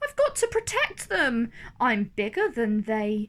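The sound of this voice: In a put-on character voice, a woman speaks at a fairly slow pace with a fairly bright tone, a fairly high pitch and very wide pitch swings.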